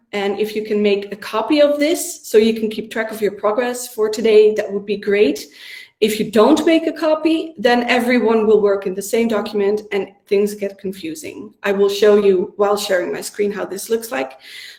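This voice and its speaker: Against noticeable background noise, a woman talks with lively intonation and hardly any pauses. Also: fairly high pitch for a woman, moderate pace. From Netherlands. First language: Dutch. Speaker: workshop facilitator. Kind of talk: online workshop instructions. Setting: video call from home.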